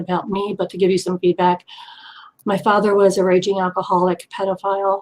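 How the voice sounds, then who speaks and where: Someone with an American accent talks at a fairly quick pace in a monotone, flat intonation. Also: woman. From US East Coast. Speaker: abuse survivor. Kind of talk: testimony. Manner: fast.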